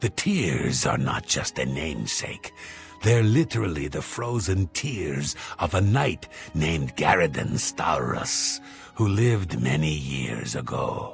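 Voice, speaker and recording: A man's put-on character voice, very deep and low, at a fairly slow pace with clear music in the background. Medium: machinima. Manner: polite, self-satisfied.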